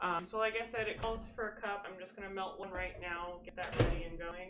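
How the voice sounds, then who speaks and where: In a room with audible echo, a woman talks at a fairly quick pace, medium in pitch, with fairly even intonation. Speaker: home baker streamer. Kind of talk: cooking tutorial. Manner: hesitant, many fillers.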